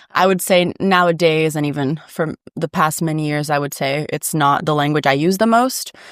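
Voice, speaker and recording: A woman with a Portuguese accent speaks at a very deep, low pitch and a moderate pace. Her pitch varies in an ordinary way, with hardly any pauses. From Brazil, São Paulo state and southern Brazil. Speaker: podcast guest. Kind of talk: casual chat.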